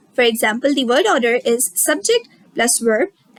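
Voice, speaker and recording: A woman with a Sindhi accent speaks at a high pitch and a moderate pace with lively intonation, in a dry, close sound with no echo. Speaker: teacher. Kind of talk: lecture. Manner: halting.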